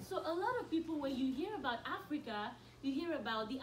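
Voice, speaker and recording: A woman with lively intonation, plus noticeable background noise and audible room echo. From Nigeria. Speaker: college student speaker. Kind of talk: school assembly talk. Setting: school assembly with audience.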